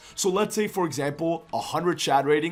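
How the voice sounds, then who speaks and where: Lively intonation comes through over music in the background. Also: man. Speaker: gaming content creator. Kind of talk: video commentary analysis.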